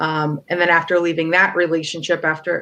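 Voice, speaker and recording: A woman speaks fairly quickly with an American accent, her pitch fairly low. She has an ordinary speaking voice. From US, Connecticut area; born in Poland, moved at three. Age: 30s. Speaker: visual artist and abuse survivor advocate. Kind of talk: interview, personal testimony.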